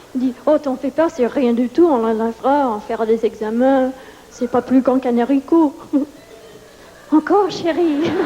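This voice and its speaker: A woman's high-pitched voice with a non-native accent at a very slow pace over noticeable background noise. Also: ordinary pitch variation. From New York. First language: English (speaking French). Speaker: stand-up comedian. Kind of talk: stand-up. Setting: stage with audience.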